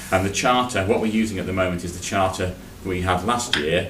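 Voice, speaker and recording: Over noticeable background noise and audible room echo, a man with a very deep, low pitch talks at a very fast pace. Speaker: internal auditor. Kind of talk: committee meeting report. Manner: loud.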